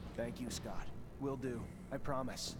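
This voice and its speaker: Against loud background noise, a man puts on a character voice at a medium pitch and a moderate pace. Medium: game stream.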